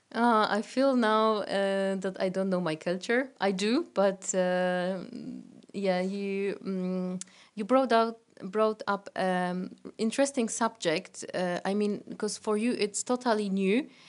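A woman with a Polish accent at a medium pitch and very slow pace, with ordinary pitch variation. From Poland. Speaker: teacher. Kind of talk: casual interview chat. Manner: halting, many fillers.

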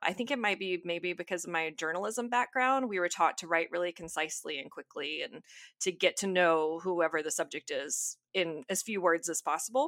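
A woman with an American accent speaks in a plain, everyday voice, fairly low in pitch with ordinary pitch variation and hardly any pauses, on a very clean recording with a silent background and a dry, close sound with no echo. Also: moderate pace. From US South, North Alabama. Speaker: novelist and English teacher. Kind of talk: interview.

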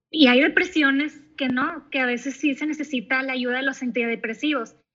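Raised and projected, the voice has a bright, sharp tone. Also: woman, quiet background. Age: 30s. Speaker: psychologist. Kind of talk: interview.

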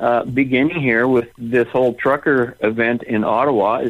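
In an ordinary speaking voice, a man with a Canadian accent speaks at medium pitch. He keeps a moderate pace. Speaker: political party president and radio host. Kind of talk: radio interview.

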